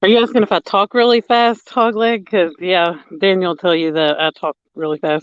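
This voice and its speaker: This man's voice sits high in pitch, with ordinary pitch variation. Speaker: fishing livestream co-host. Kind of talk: casual live stream chat. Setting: outdoors at a lake at night. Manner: fast.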